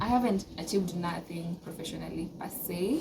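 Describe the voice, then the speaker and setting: A woman speaks at a medium pitch. Noticeable background noise runs beneath her voice. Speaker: law student vlogger. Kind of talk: casual monologue to camera. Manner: hesitant, many filler sounds.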